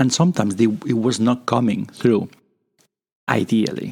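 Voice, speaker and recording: A man with a Spanish accent, in a dry, close sound with no echo. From Spain. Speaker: podcast host. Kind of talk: casual monologue. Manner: improvised, halting.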